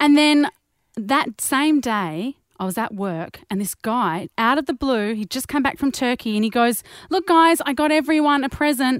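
At a moderate pace, a woman with an Australian accent speaks at a high pitch with lively intonation. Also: dry, close sound with no echo, very clean recording, silent background. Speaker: podcast co-host. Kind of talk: casual chat.

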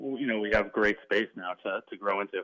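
An ordinary speaking voice comes from a man with an American accent. He talks at a moderate pace. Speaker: baseball team owner. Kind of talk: radio interview.

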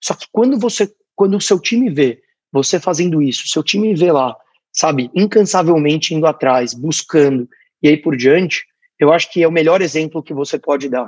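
A man with a normal speaking voice and fairly high pitch talks at a moderate pace with lively intonation, the sound dry and close with no echo. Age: 20s. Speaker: startup founder. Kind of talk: interview.

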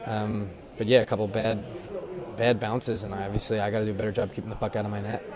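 Over noticeable background noise, a man talks very fast in a fairly low, monotone, flat voice. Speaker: reporter. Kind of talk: locker room interview.

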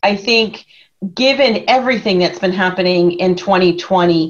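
A plain, everyday voice speaks at a moderate pace. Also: woman. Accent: American. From Philadelphia area. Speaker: consulting executive. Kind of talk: interview.

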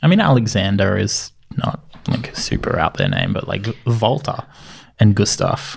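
With an Australian accent, a man of medium pitch speaks at a moderate pace with ordinary pitch variation amid noticeable background noise. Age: 30s. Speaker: podcast co-host. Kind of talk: casual chat.

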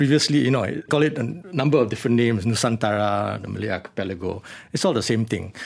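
Very fast male speech at medium pitch, with lively intonation and vocal fry. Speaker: bookshop co-founder and conservationist. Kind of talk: radio interview.

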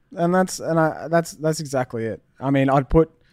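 An Australian accent at a moderate pace, on a very clean recording with a silent background. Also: man. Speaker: musician. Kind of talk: interview.

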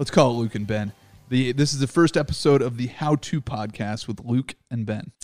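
A man with an American accent talks at a moderate pace and medium pitch, with ordinary pitch variation. He has a plain, everyday voice, and the sound is dry and close with no echo. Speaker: radio host and former comedian. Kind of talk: casual chat.

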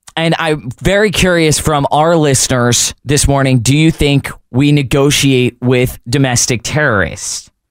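A man with an American accent and a plain, everyday voice speaks fairly slowly, with hardly any pauses. His pitch is fairly high with ordinary variation, and his loudness stays very even. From northern US. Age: 20s. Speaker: radio host. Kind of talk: talk radio. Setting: studio.

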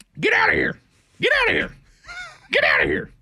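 A put-on character voice with a raspy edge. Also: extremely high pitch, fairly quick pace. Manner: gruff, crotchety.

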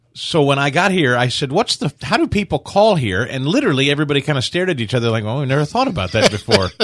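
Against a quiet background, a man with a fairly high voice rushes along at a very fast pace with hardly any pauses, his pitch swinging very widely. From US Midwest, Kansas City. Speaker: radio talk show host. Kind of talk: casual chat.

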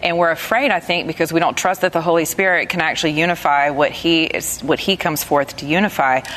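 A woman in a Southern US accent talks very fast with hardly any pauses, a fairly low pitch and ordinary pitch variation, over noticeable background noise. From US South. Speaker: radio host. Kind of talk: panel discussion. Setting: studio with audience.

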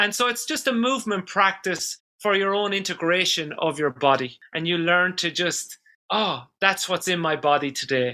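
Speaking at a moderate pace with an Irish accent, a man uses lively intonation in a high pitch and a bright, sharp tone. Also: hardly any pauses. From Ireland, rural village. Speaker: dance therapist. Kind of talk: interview conversation.

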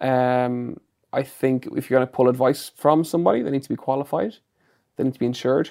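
Man with an Irish accent, medium-pitched, with a dark, mellow tone. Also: ordinary pitch variation, fairly quick pace. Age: 30s. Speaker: fitness expert and personal trainer. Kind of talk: casual interview. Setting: studio.

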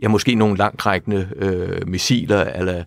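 A man talks very slowly in a fairly low pitch. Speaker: retired diplomat. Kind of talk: interview. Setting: studio. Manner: halting.

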